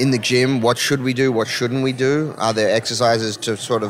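Over noticeable background noise, a man speaks in a flat, monotone way. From Melbourne, Australia. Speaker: sports performance expert, former college tennis player. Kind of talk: podcast interview.

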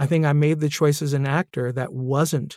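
Over a silent background in a very clean recording, a man talks in an ordinary speaking voice with fairly even intonation. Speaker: podcast host and narrator. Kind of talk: interview conversation.

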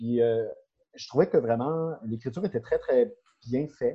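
This man has a normal speaking voice at a medium pitch. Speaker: insurance broker. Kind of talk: casual chat.

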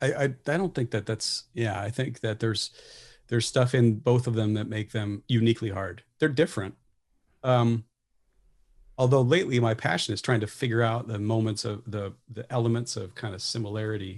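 Moderate-paced, somewhat breathy speech from a man at medium pitch, with ordinary pitch variation over a quiet background. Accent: American. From US Midwest. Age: 40s. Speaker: jazz professor and pianist. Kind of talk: casual chat.

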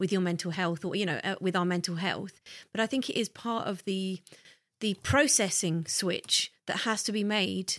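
A woman with a southern English accent speaks at a moderate pace and medium pitch, with ordinary pitch variation, in a very clean recording with a silent background and a dry, close sound with no echo. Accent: refined southern English. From southern England, Hertfordshire. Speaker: podcast co-host. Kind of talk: casual chat.

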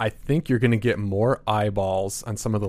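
A man's fairly low voice in a very clean recording with a silent background. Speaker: sports editor. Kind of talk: casual chat. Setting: studio.

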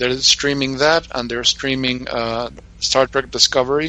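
With an Argentine accent, a man speaks at a fairly slow pace and medium pitch, his intonation fairly even, against noticeable background noise. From Argentina. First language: Spanish. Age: 60s. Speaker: radio show co-host. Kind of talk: casual chat.

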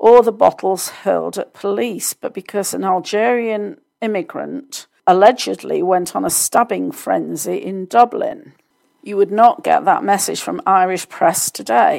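At a fairly slow pace, a woman speaks with a British accent. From United Kingdom. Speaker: podcast host and success coach. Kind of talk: solo news commentary.

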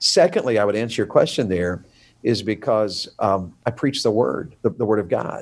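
A man with a Southern US accent speaks at a moderate pace in a fairly low voice with lively intonation, recorded very cleanly against a silent background. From US South. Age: 50s. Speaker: evangelist. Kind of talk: casual interview.

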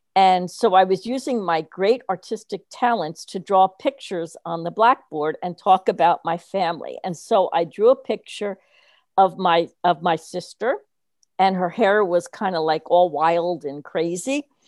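In an American accent, a woman with an unremarkable speaking voice talks at a fairly slow pace and medium pitch with ordinary pitch variation, the sound dry and close with no echo, the recording very clean over a silent background. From New Jersey. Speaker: retired teacher and education consultant. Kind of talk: casual interview.

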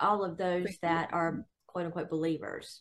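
This woman's voice sits at a fairly low pitch. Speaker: Bible study participant. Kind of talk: group Bible study discussion. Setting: video call.

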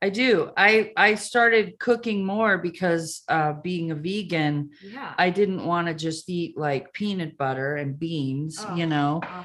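Speaking fairly slowly, a woman with a fairly low pitch uses lively intonation in an unremarkable speaking voice. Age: 50s. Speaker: comedian. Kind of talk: casual chat.

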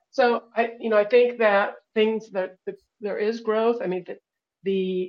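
At a fairly slow pace, a woman with a fairly high pitch and ordinary pitch variation talks in an unremarkable speaking voice. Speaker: audience participant asking questions. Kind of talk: casual Q&A. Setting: online call, speaking from Guatemala.

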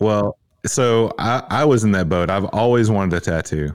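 A man talks with a Tennessee accent. His pitch variation is ordinary. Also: very clean recording, silent background. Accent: Southern US (Tennessee). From Tennessee, US South. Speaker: fitness coach and gym owner. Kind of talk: casual interview chat.

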